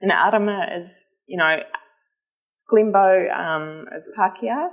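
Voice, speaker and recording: In a New Zealand accent, a woman speaks at a medium pitch. Her pitch variation is ordinary. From New Zealand, Marlborough/Kaikōura area. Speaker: novelist. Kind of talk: book festival interview. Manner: halting, many fillers.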